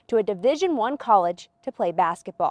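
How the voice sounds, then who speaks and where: An unremarkable speaking voice at a moderate pace, with a dry, close sound and no echo. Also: woman. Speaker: sports anchor and reporter. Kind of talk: TV sports news report.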